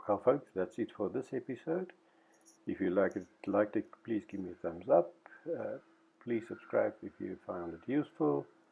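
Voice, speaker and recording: With a non-native accent, a man of fairly low pitch speaks at a moderate pace, his pitch swinging very widely. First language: not English. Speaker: hobby machinist. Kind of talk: video outro.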